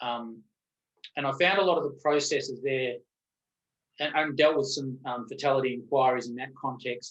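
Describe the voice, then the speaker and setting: A man with an Australian accent at a medium pitch, with long, frequent pauses. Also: fairly even intonation, moderate pace. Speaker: lawyer and safety expert. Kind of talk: interview conversation. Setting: webinar video call. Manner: halting with fillers.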